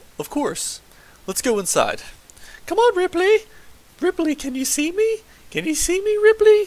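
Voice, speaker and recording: Putting on a squeaky character voice at an extremely high pitch, a man talks at a moderate pace with long, frequent pauses. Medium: read story. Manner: casual, folksy.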